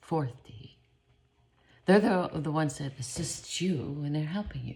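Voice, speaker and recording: This woman's somewhat breathy voice is very deep and low in pitch, with lively intonation. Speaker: spiritual vlogger. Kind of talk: casual spiritual talk. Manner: rambling, self-interrupting.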